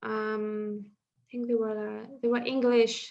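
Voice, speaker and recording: Speaking in a Russian accent, a woman uses a fairly high pitch at a fairly slow pace. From northwestern Russia. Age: 30s. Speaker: stand-up comedian. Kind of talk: casual chat.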